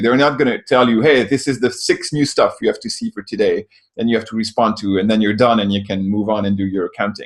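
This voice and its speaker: A man speaks in a French accent. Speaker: software company co-founder. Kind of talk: interview answer.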